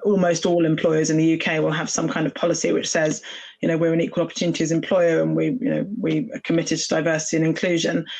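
In a British accent, a woman talks at a fairly quick pace. Her fairly low voice carries vocal fry. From UK. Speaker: employment lawyer. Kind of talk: panel discussion.

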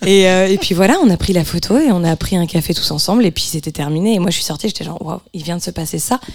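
A woman talks at a very fast pace with hardly any pauses. Noticeable background noise runs underneath. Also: medium pitch for a woman, ordinary pitch variation. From France. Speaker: singer-songwriter. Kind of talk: radio interview.

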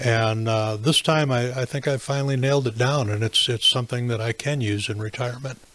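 Over noticeable background noise, a man speaks at a medium pitch in a monotone, flat intonation. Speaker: retired navy officer and HR manager. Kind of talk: casual panel discussion.

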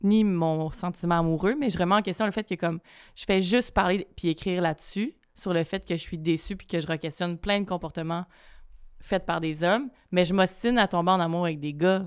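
The recording is very clean, with a silent background. A woman with a fairly low pitch talks at a moderate pace with ordinary pitch variation. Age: 30s. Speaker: writer. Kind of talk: casual chat.

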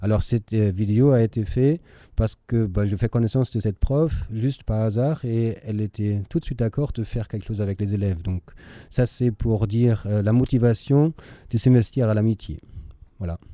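With a German accent, a man speaks at a medium pitch and a moderate pace, in a dark, mellow tone with ordinary pitch variation. The sound is dry and close with no echo, over a quiet background. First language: German (speaking French). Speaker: teacher. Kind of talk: moderating a video conference. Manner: halting.

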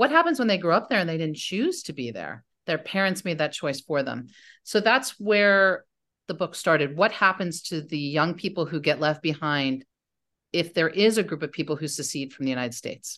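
A woman with an unremarkable speaking voice talks at a moderate pace in an American accent, her pitch fairly low. Her intonation is lively, and the background is quiet. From US North, mostly New Jersey. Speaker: novelist. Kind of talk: interview.

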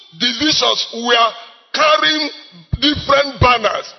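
A man's extremely high voice with lively intonation, a fairly slow pace and noticeable background noise. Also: long, frequent pauses. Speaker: evangelist preacher. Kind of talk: sermon; prayer. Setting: church.

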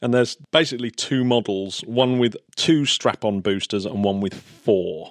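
Speaking with an English accent, a man at medium pitch keeps a moderate pace with ordinary pitch variation and hardly any pauses, in a very clean, dry, close recording with a silent background and no echo. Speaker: podcast host. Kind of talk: casual chat.

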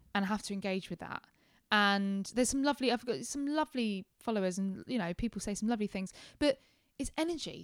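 In an English accent, the speaker talks at a fairly quick pace, captured in a very clean recording with a silent background and a dry, close sound with no echo. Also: woman, fairly high pitch for a woman. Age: 20s. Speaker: former digital marketing manager and fan presenter. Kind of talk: casual interview chat. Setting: at home in her flat.

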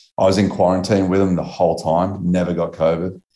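The speaker has an Australian accent and a dark, mellow tone, moving at a fairly quick pace. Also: man. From Australia, Melbourne. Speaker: BASE jumper and author. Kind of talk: interview. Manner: casual, laid-back with filler words.

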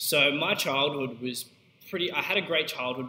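With an Australian accent, a man at medium pitch talks at a fairly quick pace against noticeable background noise. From Queensland, Australia. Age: young. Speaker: podcast host and young entrepreneur. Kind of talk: unscripted solo monologue. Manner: casual, with fillers.

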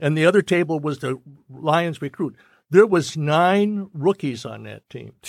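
A man with an American accent and a normal speaking voice, fairly high in pitch, fairly slow, with ordinary pitch variation, big swings in loudness and a very clean recording with a silent background. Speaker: radio man. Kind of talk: casual chat.

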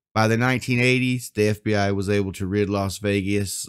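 With a Southern US accent, a man speaks at a moderate pace in a fairly low voice on a very clean recording with a silent background. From US South. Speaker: podcast host. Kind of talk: scripted narration of history, podcast.

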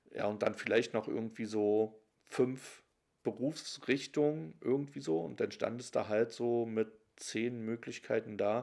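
A man's unremarkable speaking voice, medium in pitch, at a fairly slow pace, in a very clean recording with a silent background. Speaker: interviewee. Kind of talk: recorded interview.

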